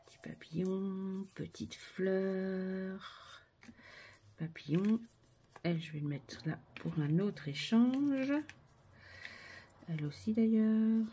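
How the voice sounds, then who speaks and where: Speaking very slowly, a woman leaves long, frequent pauses, and her loudness swings widely. Her voice is somewhat breathy, with a dark, mellow tone. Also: medium pitch for a woman, lively intonation. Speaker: craft video creator. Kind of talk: crafting tutorial. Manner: soft-spoken; casual, chatty.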